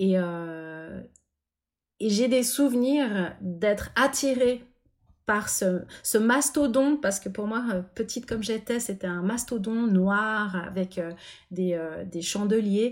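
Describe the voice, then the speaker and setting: A woman's fairly high voice with ordinary pitch variation, at a very slow pace, in a very clean recording with a silent background. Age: 40s. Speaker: pianist and composer. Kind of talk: interview.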